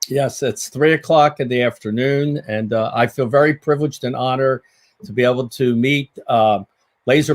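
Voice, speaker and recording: Fairly even in intonation, a man with an American accent speaks at a medium pitch and a moderate pace. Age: 60s. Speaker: podiatric surgeon and laser trainer. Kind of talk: sales presentation. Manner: halting, many fillers.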